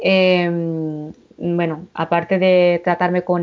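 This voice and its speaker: Here a woman with a fairly low pitch speaks in a monotone, flat intonation. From Catalonia, Girona Pyrenees. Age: 40s. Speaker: paranormal experience witness. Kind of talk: testimony. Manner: halting.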